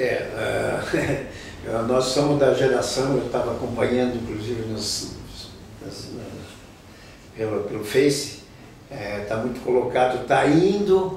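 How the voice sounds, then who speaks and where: Spoken at a fairly slow pace, the voice carries audible room echo along with noticeable background noise. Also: man. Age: 70s. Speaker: local musician and community elder. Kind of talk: interview. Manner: halting, many repetitions.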